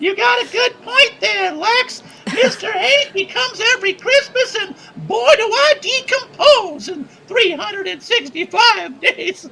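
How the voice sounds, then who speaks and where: In a put-on character voice, the speaker talks at a fairly slow pace with an extremely high pitch and very wide pitch swings. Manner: jolly, friendly.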